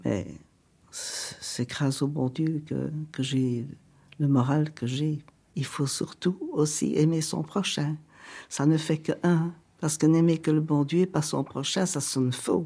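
Her voice has a dark, mellow tone and a very deep, low pitch for a woman. She speaks at a very slow pace with fairly even intonation and long, frequent pauses. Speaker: elderly woman interviewed at home. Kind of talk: documentary interview.

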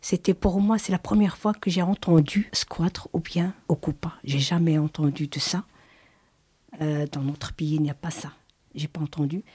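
A woman speaks fairly slowly in a fairly low, dark, mellow voice that is somewhat breathy. Her pitch variation is ordinary, and the sound is dry and close with no echo. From abroad. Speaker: migrant mother, former squatter. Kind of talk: testimony. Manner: halting.

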